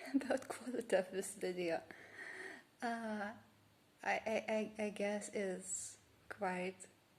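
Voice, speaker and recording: This woman speaks at a very slow pace with long, frequent pauses, a somewhat breathy voice and ordinary pitch variation. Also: medium pitch for a woman. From Lithuania. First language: Lithuanian. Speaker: vlogger. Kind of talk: casual vlog monologue. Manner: halting, many fillers and restarts.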